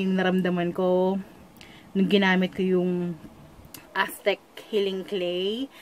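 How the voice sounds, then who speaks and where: A woman at a fairly slow pace, with light background noise. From Philippines. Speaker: beauty vlogger. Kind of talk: product tutorial vlog. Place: home room. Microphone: phone near.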